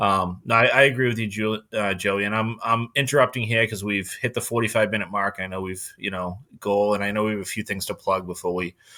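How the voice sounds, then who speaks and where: A man with a Boston accent speaks at a fairly quick pace, with hardly any pauses, a fairly low pitch, and fairly even intonation. His tone is bright and sharp, on a very clean recording with a silent background. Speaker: podcast host. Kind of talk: casual chat. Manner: monotone.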